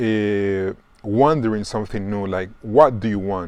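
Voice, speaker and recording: A man speaks at a fairly low pitch and a fairly slow pace. His intonation is fairly even over a quiet background. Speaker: tarot reader. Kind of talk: tarot reading video. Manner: halting, many fillers and repetitions.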